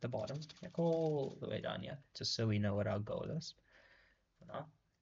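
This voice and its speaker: A somewhat breathy quality marks the voice. It belongs to a man. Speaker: coding tutorial creator. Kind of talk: screen-recorded coding tutorial. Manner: slow, typing while talking; casual, hesitant with fillers.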